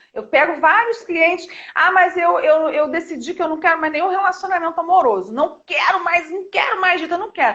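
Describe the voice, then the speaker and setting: The woman's voice is extremely high in pitch. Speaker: therapist. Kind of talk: live stream chat. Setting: live stream. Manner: talkative.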